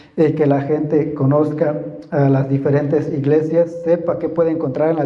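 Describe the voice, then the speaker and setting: A man with a fairly high voice speaks at a fairly slow pace, his intonation fairly even. Noticeable background noise and audible room echo surround him. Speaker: guest preacher. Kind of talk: sermon. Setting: church. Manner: halting, many fillers and repetitions; sometimes very slow and quiet.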